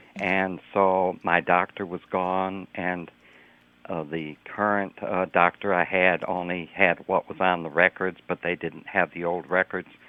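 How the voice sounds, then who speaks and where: In a monotone with flat intonation, a man speaks at a very deep, low pitch. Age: 80s+. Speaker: public health doctor and lung cancer survivor. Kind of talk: radio interview. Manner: halting, with many fillers.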